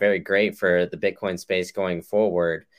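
In a very clean recording with a silent background and a dry, close sound with no echo, a man with a very deep, low pitch speaks at a moderate pace. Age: 20s. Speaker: podcast host. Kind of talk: casual interview.

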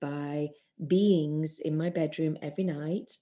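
Dark, mellow tone from a woman, pitched very deep and low. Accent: non-native. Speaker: spiritual teacher and shamanic practitioner. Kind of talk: interview, spiritual teaching. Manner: hesitant, many fillers and repeats.

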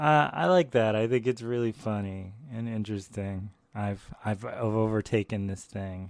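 In a fairly low voice, a man speaks at a moderate pace with ordinary pitch variation against a quiet background. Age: 40s. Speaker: podcast host and artist. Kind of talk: casual monologue.

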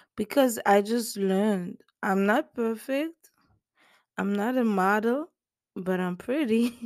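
A woman's ordinary speaking voice at a fairly slow pace, with ordinary pitch variation and a dry, close sound with no echo. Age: 20s. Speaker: podcast host giving relationship advice. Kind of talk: casual monologue.

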